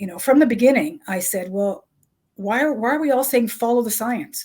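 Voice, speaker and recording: In a plain, everyday voice, a woman speaks at a fairly quick pace with a fairly high pitch, on a very clean recording with a silent background. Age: 60s. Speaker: author and health journalist. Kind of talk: interview.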